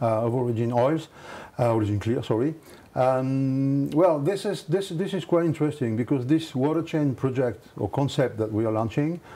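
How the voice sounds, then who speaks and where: At a moderate pace, a man with a French accent speaks in a dark, mellow tone at medium pitch with ordinary pitch variation. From France. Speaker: company executive. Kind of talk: interview. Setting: studio. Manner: halting.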